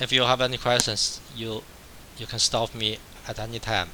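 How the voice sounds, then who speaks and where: A man's moderate-paced speech comes with noticeable background noise behind it. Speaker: math professor. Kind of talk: lecture. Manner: repetitive, halting.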